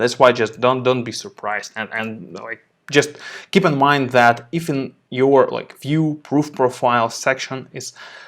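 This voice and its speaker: A man with a non-native accent, a fairly slow pace and big swings in loudness, in a very clean recording with a silent background. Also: medium pitch for a man, ordinary pitch variation. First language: not English. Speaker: photo editing tutor, show host. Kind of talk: live stream tutorial. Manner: halting, many repetitions and fillers.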